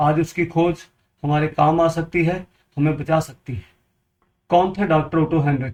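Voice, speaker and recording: Speaking with a Punjabi accent, a man uses a fairly high pitch and ordinary pitch variation. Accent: Punjabi-accented Hindi. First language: Punjabi (speaking Hindi). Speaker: water purifier seller, health advice video maker. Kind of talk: informational talk to camera.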